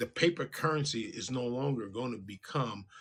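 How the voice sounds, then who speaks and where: In a very clean recording with a silent background, a man speaks at a moderate pace with a bright, sharp tone, a medium pitch, and lively intonation. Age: 60s. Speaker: radio show host. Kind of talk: casual talk show monologue. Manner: halting, repetitive.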